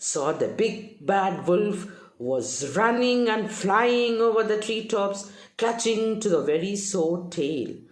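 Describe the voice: Here is plain reading aloud with ordinary pitch variation.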